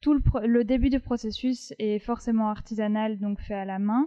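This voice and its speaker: A woman with fairly high pitch speaks very slowly with fairly even intonation. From France, Paris. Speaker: textile designer and wool artisan. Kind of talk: casual interview. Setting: her workshop.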